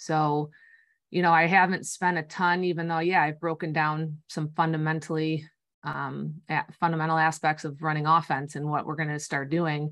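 She speaks in an American accent, her pitch very deep and low. Her intonation is flat and monotone. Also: moderate pace, quiet background. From US Midwest, northern Illinois. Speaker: high school basketball coach. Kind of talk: casual interview.

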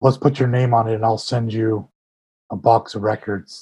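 A man talks at a medium pitch, somewhat breathy, in a monotone, flat intonation. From California Bay Area. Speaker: punk musician and stage manager.

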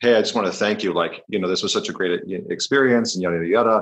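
A man with a Canadian accent against a quiet background. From northern Alberta, Canada. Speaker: podcast host and men's coach. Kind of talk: casual interview.

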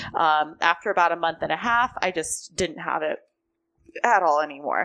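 In a very clean recording with a silent background, a woman with a Californian accent talks at a moderate pace, her pitch fairly low and its variation ordinary. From US West Coast, Southern California. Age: 20s. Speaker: strength and conditioning coach. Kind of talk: casual interview chat. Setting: in person, sit-down recording.

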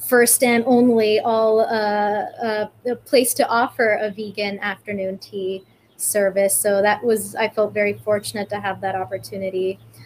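Using an ordinary speaking voice, a woman with an American accent talks at a moderate pace in a medium pitch, with fairly even intonation and hardly any pauses. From California. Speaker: vegan animal rights activist. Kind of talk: interview.

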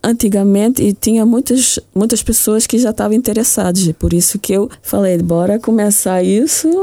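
Dark, mellow tone from a woman at medium pitch and moderate pace on a very clean recording with a silent background. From Luxembourg. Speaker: association president. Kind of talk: radio interview.

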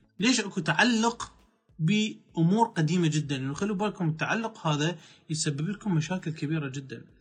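A man speaks at a fairly high pitch. His pace is moderate, with ordinary pitch variation. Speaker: life coach. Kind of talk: motivational talk.

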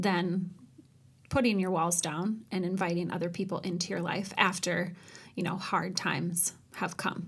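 In a room with audible echo, a woman talks at a moderate pace in a fairly low, somewhat breathy voice with monotone, flat intonation. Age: 30s. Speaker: podcast co-host. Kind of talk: casual chat.

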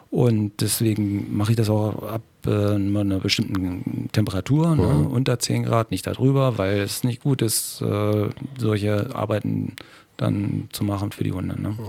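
A man with a dark, mellow tone and a fairly low pitch talks at a fairly slow pace. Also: ordinary pitch variation. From Lower Saxony, Schaumburg area. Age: 50s. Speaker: taekwondo trainer and husky sled dog musher. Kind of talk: casual interview. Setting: studio.

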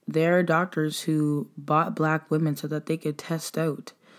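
This woman's voice is very deep and low in pitch, with fairly even intonation at a fairly slow pace. The recording is very clean, with a silent background. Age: 20s. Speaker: podcast host. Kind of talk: reflective solo monologue. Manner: casual, conversational with fillers.

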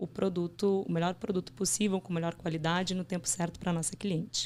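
A woman speaks in a Rio Grande do Sul accent at a medium pitch. Her pace is fairly quick and her intonation fairly even. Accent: gaúcho (Rio Grande do Sul). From southern Brazil, Porto Alegre. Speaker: management trainee. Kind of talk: interview.

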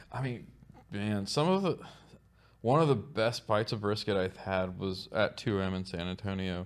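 A man with an American accent speaks in a plain, everyday voice with ordinary pitch variation. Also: fairly low pitch for a man, moderate pace. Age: 40s. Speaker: barbecue restaurant owner. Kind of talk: casual chat.

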